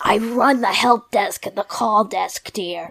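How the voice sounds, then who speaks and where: In a put-on character voice, a woman sounds raspy. Her pitch sits at a medium level with fairly even intonation. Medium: actual play. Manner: sweet, chatty.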